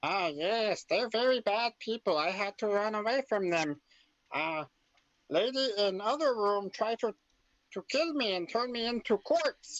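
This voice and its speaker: A squeaky, put-on character voice. It moves at a moderate pace. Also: man, high pitch for a man. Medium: actual play. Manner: hesitant, stammering, broken English.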